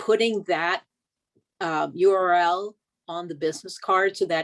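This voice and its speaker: This woman's voice sits fairly low in pitch. The sound is dry and close, with no echo. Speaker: volunteer outreach committee member. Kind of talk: meeting discussion. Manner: loud.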